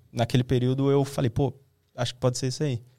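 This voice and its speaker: Rattling along very fast, a man speaks at a medium pitch. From Brazil, Osasco (São Paulo). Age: 20s. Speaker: video content creator. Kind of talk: casual chat.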